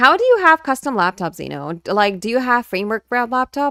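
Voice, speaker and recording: Her voice high-pitched and bright with a sharp tone, a woman swings very widely in pitch on a very clean recording with a silent background and a dry, close sound without echo. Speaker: vtuber streamer. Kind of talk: livestream chat with viewers. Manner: halting, many restarts.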